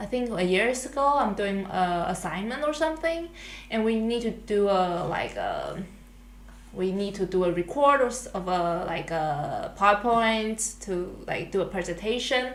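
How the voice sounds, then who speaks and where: In a room with audible echo, a woman with a Chinese accent talks fairly slowly. Her medium-pitched voice has lively intonation. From Taiwan. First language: Mandarin Chinese. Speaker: international student podcast co-host. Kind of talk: casual chat. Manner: halting.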